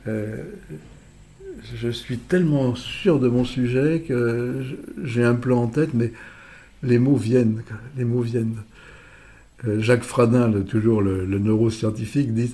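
Speaking very slowly with long, frequent pauses, a man has a somewhat breathy voice and a dark, mellow tone. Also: medium pitch for a man, ordinary pitch variation. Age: 80s+. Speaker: public speaking coach. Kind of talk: casual interview. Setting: office. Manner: halting, many repetitions and fillers.

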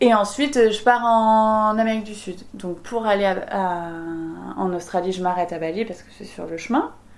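Recorded with audible room echo, a woman at a medium pitch shows ordinary pitch variation and big swings in loudness. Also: moderate pace. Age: 30s. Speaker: chef and restaurant owner. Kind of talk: interview. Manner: casual, lively.

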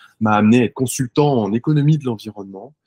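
The sound is dry and close, with no echo. A man speaks at a medium pitch with ordinary pitch variation. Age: 40s. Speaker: startup founder. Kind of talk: interview. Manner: animated.

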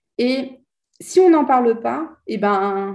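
A woman's fairly high, somewhat breathy voice carries a dark, mellow tone. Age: 30s. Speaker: life coach. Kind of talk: interview.

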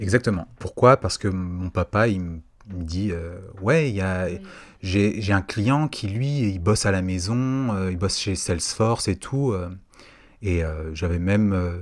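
A man speaks at a very slow pace with a very deep, low pitch. Long pauses come often. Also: ordinary pitch variation. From Paris region, Saint-Maur-des-Fossés. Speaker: podcast guest sharing life story. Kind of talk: casual interview, personal testimony. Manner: hesitant, many fillers and repetitions.

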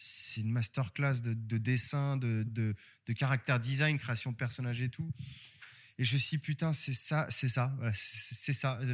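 A man's medium-pitched voice at a fairly slow pace, fairly even in intonation and very even in loudness, over music in the background. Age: 30s. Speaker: manga author. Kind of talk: casual interview. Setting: bookstore.

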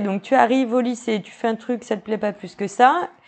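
A woman speaks in a normal speaking voice at a fairly high pitch. Her pitch variation is ordinary. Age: 30s. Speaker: podcast host. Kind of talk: interview.

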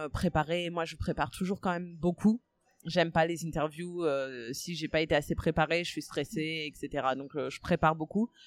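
Over a very clean recording with a silent background, a woman with a very deep, low pitch speaks at a moderate pace with fairly even intonation. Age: 30s. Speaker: podcaster. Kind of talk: interview. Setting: café. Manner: hesitant, many fillers.

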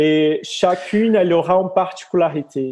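In a Brazilian accent, a man speaks at a very slow pace with a high pitch for a man. His tone is dark and mellow, and his intonation stays fairly even. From Brazil, near Rio de Janeiro. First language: Portuguese (speaking French). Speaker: yoga teacher. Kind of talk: interview. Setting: video call. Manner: halting.

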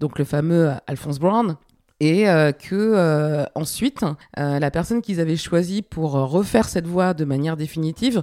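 A woman speaks at a fairly slow pace in a fairly low pitch. Her tone is dark and mellow, and her intonation is lively. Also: very clean recording, silent background. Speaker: music producer and podcast host. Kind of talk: casual interview about own career.

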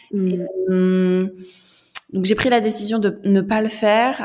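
Her intonation is flat and monotone. The woman's pitch sits at a medium level. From central France. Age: young. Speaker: French teacher. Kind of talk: interview.

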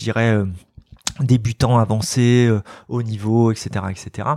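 A man is speaking. His pace is fairly slow. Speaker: executive coach. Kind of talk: casual interview. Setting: rooftop venue. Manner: energetic.

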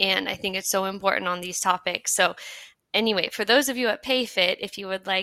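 A woman with a medium-pitched voice speaks in a bright, sharp tone. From United States. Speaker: podcast host, diversity manager. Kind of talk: interview conversation.

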